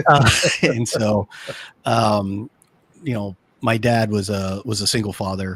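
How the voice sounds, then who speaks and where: Fairly even intonation from a man with an American accent. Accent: slight Texas accent, occasional. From El Paso, Texas. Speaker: business consultant. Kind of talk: podcast interview. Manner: hesitant, many fillers.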